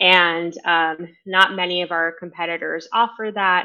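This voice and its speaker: A woman speaks in an American accent with a normal speaking voice. Her pitch is fairly low and her intonation fairly even. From New York City. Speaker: marketing agency CEO. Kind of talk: interview.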